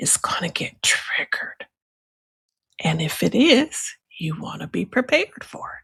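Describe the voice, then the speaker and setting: In a somewhat breathy voice, a woman speaks fairly slowly with lively intonation. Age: 60s. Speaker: astrologer and hypnotherapist. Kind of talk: educational talk. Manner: halting.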